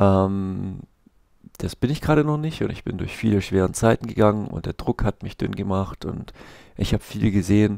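Recorded dry with no echo against a quiet background, a man speaks at a moderate pace in a fairly low pitch with a dark, mellow tone. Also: ordinary pitch variation. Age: 30s. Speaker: vlogger, street musician and comic artist; comic artist vlogger. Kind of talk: casual vlog monologue; casual vlog chat. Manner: hesitant, many filler sounds. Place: home room. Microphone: headset.

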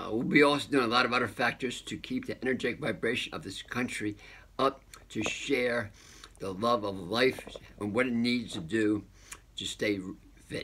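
A man with a bright, sharp tone, a moderate pace, ordinary pitch variation and long, frequent pauses, over light background noise. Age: 70s. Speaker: health and wellness channel host. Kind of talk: casual video update. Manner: excitable; halting. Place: home room. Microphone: phone near.

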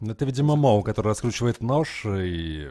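His fairly low voice moves at a fairly quick pace. The man's intonation is lively. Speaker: esports commentator. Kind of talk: live esports commentary. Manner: fast, animated play-by-play with banter.

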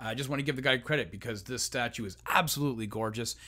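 In quiet surroundings, a man is talking. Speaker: collectibles reviewer. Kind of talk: casual review vlog chat. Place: home room. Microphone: studio mic.

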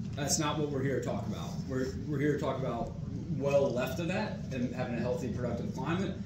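Someone talks at a fairly quick pace over loud background noise, with audible room echo. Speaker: army commander. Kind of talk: class discussion. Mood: earnest, candid. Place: meeting room. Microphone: camera far.

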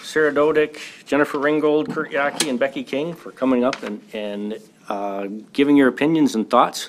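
With an American accent, a man uses a normal speaking voice at a moderate pace, with a fairly high pitch and ordinary pitch variation. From US Midwest. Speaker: school board member and contractor; contractor. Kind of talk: public meeting discussion. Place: meeting room. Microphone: podium.

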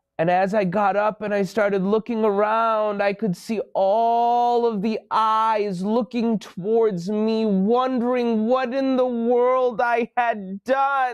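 A man speaks very slowly, with a high pitch and fairly even intonation. The background is quiet. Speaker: children's show host. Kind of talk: storytelling to kids. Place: studio.

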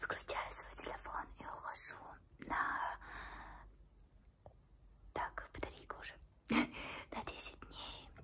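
A woman whispers at a very slow pace, leaving long, frequent pauses while her loudness swings widely. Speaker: ASMR creator. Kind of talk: casual talk to camera. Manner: whispered. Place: home room. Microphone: phone near.

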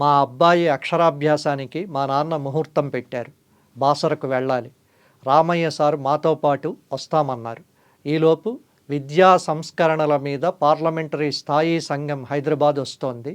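A man's plain, everyday voice, fairly high in pitch, with fairly even intonation. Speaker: journalist and channel host. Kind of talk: scripted narration.

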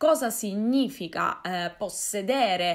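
A woman at a very slow pace, with lively intonation against a quiet background. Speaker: folklore vlogger. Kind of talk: casual vlog chat. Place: home room.

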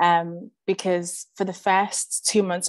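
A woman's fairly low voice comes with monotone, flat intonation and a dry sound with no echo. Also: quiet background. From Liverpool area, born in Zimbabwe. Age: 20s. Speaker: artist and youth project producer. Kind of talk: presentation. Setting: video call. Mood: earnest, reflective. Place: home room. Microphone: video call.

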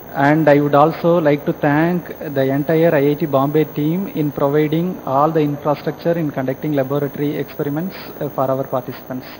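Noticeable background noise sits under the speech. The pace is fairly quick. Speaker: remote center coordinator. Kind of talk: feedback and questions. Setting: video link from remote center.

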